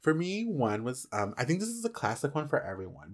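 A man's fairly high-pitched voice with very wide pitch swings at a fairly quick pace, on a very clean recording with a silent background. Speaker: podcast co-host. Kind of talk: casual chat. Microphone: new expensive microphone.

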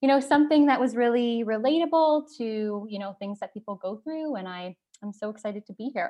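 Lively intonation marks this woman's speech in a Canadian accent. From Canada, northern Ontario (near Thunder Bay). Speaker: hockey player's girlfriend. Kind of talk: casual interview chat. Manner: loud.

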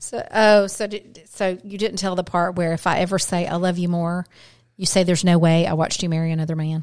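The speaker moves at a fairly quick pace in a very clean recording with a silent background. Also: woman, fairly low pitch for a woman. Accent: Southern US. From Atlanta, Georgia, then Birmingham, Alabama from age 11. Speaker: podcast co-host. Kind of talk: casual chat. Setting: home studio. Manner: animated, frequent laughter.

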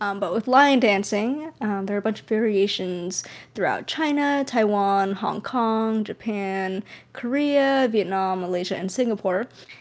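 A woman's normal speaking voice with a medium pitch, an American accent, ordinary pitch variation and a fairly slow pace. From California. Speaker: podcast co-host. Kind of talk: casual chat.

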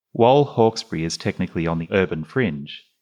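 A man talks at a fairly quick pace in an Australian accent. His voice is very deep and low, and the background is quiet. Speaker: GP and podcast host. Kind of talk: moderated panel discussion.

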